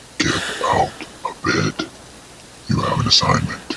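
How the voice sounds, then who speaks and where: A man performs a put-on character voice, growling at an extremely high pitch and a moderate pace over clear background noise. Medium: voice reel. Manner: condescending, mocking.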